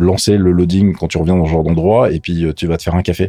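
Amid noticeable background noise, a man talks with a very deep, low pitch. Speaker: gaming and tech podcast co-host. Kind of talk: casual chat. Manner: animated.

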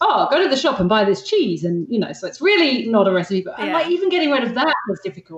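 A woman speaks at a fairly quick pace in a high voice, her pitch swinging very widely. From England. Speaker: zero waste blogger. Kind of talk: casual interview chat. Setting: remote call.

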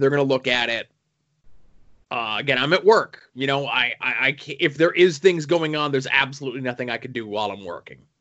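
A man with an unremarkable speaking voice talks fairly quickly at a fairly high pitch with ordinary pitch variation. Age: 30s. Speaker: comic book podcast co-host. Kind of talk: casual chat.

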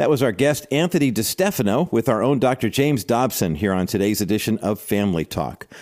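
A man at medium pitch with very wide pitch swings, a fairly quick pace, and music in the background. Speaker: radio host. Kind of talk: radio intro and appeal. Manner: formal, warm.

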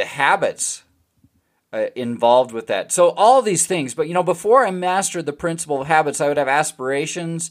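An unremarkable speaking voice from a man, fairly high in pitch, with lively intonation, a moderate pace and a very clean recording with a silent background. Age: 40s. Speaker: podcast host and retirement planning specialist. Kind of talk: solo podcast talk. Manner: conversational with frequent fillers.

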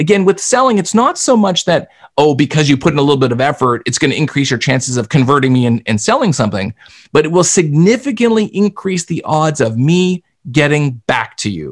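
Speaking at a fairly quick pace, a man with an unremarkable speaking voice and a fairly high pitch is heard on a very clean recording with a silent background. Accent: Canadian. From Canada. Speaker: sales expert and author. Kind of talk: casual interview.

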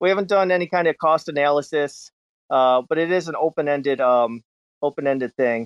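A man talks in a normal speaking voice at a fairly quick pace. His pitch is fairly high and varies in an ordinary way. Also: very even loudness. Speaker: NFT creator. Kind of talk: casual chat.

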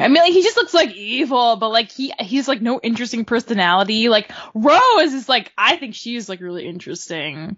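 A woman's plain, everyday voice with lively intonation at a moderate pace. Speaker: podcast co-host. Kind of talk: casual chat.

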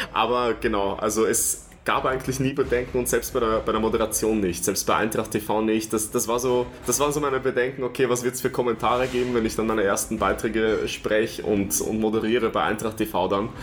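A man with an unremarkable speaking voice talks at a fairly quick pace and medium pitch, with hardly any pauses, fairly even intonation, and very even loudness. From Vienna, Austria. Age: 30s. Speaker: stadium announcer. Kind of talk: interview.

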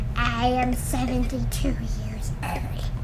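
Someone whispers in a put-on character voice. Loud background noise fills the clip. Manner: creepy, slow, reminiscent of an old wise alien character.

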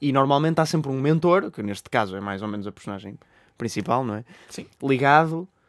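Lively intonation and big swings in loudness at a fairly quick pace, in a European Portuguese accent, on a very clean recording with a silent background. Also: man, medium pitch for a man. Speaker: film podcast co-host. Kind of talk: casual chat. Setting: studio.

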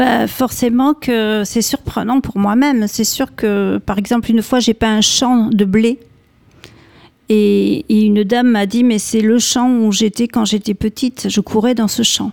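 A plain, everyday voice speaks at a fairly slow pace with fairly even intonation and very even loudness. The sound is dry and close, with no echo. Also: woman, fairly high pitch for a woman. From France, Bordeaux. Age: 50s. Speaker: painter. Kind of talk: radio interview.

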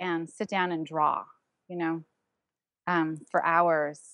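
At a fairly slow pace, a woman speaks. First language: German. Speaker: visual artist. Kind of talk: interview. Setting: recorded podcast interview.

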